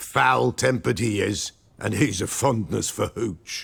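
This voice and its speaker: A man uses a put-on character voice that is raspy. He speaks at a fairly slow pace and a fairly low pitch. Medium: video game. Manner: cryptic, archaic inverted phrasing.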